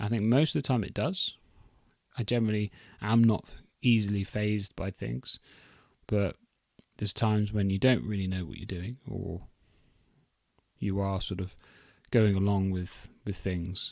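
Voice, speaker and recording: A man with a fairly low voice speaks at a moderate pace. His pitch varies in an ordinary way, and he takes long, frequent pauses. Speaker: podcast host. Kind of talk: solo podcast monologue. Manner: laid-back, calm tone; halting, many restarts.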